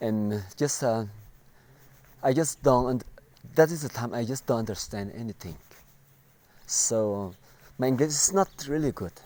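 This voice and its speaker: A man speaks at a moderate pace in a dark, mellow tone, with lively intonation broken by long, frequent pauses. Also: medium pitch for a man. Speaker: vlogger telling life story. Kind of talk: personal testimony. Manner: halting, many fillers and repetitions.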